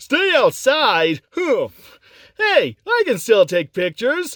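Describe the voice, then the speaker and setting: Using a put-on character voice with a high pitch, the speaker goes at a fairly slow pace. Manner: cheeky, upbeat.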